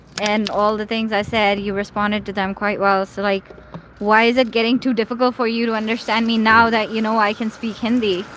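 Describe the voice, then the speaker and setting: A woman with a Pakistani accent, fairly high in pitch and monotone and flat in intonation, over noticeable background noise. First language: Urdu. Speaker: live streamer. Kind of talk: casual chat. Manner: rambling, many fillers.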